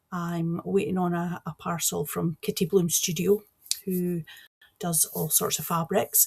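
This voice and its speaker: With a Scottish accent, a woman speaks. Her pitch is fairly low. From east coast of Scotland. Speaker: cross-stitch vlogger. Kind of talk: casual vlog chat. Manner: chatty, animated.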